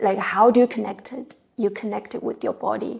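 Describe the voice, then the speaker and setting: With a Chinese accent, a woman speaks at a moderate pace and a medium pitch. Her tone is dark and mellow. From China. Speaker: tea practitioner. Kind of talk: interview answer.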